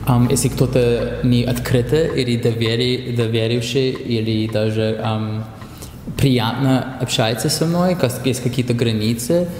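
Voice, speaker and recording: In an English accent, the speech comes at a very slow pace with fairly even intonation and very even loudness, over noticeable background noise. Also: man, medium pitch for a man. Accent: English-accented Russian. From Canada. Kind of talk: casual interview chat. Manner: halting, switches to English words.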